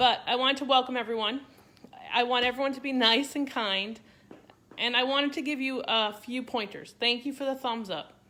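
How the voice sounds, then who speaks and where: A woman with a Boston accent, high in pitch, bright and sharp in tone, with fairly even intonation. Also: moderate pace. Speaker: cooking content creator. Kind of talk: live stream cooking demo. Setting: home kitchen, Facebook Live. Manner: casual, chatty.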